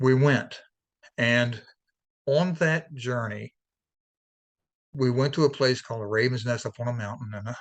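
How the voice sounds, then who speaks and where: Fairly even intonation in a medium-pitched male voice. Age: 60s. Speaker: life coach and author. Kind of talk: interview testimony. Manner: halting, many restarts.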